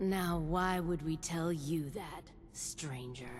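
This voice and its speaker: A put-on character voice at a middle pitch and very slow pace, with clear background noise. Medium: video game.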